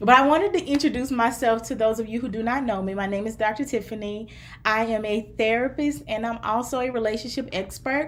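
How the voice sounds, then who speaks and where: A woman talks at a fairly quick pace with an American accent. Her pitch is fairly high, with ordinary variation. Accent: Southern US twang, gets stronger as she talks. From US South, Mississippi. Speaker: therapist and relationship coach. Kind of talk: live stream talk to viewers. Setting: live stream to several platforms.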